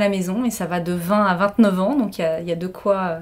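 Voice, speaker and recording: The pace is moderate as this woman talks. Her pitch moves in an ordinary way. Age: 50s. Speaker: hotel director. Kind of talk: interview testimony. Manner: energetic.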